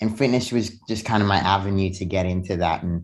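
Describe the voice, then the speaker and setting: A man's fairly low voice with fairly even intonation against a quiet background. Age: 20s. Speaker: fitness and self-development influencer. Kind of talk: casual interview. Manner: halting with frequent fillers.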